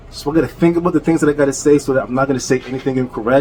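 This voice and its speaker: A man talks with a fairly high pitch against noticeable background noise. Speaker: YouTuber ranting on rivals. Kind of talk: rant.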